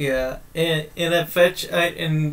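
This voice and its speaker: In an American accent, a man speaks with monotone, flat intonation over noticeable background noise. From grew up in the US, immigrant from another country. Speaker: podcast co-host. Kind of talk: casual chat. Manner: halting, many false starts.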